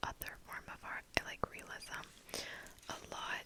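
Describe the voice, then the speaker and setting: Someone whispers at a moderate speed as noticeable noise carries on in the background. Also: woman. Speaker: ASMR creator and hobbyist painter. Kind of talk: ASMR whisper ramble to camera. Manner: whispered, repetitive trigger-style words.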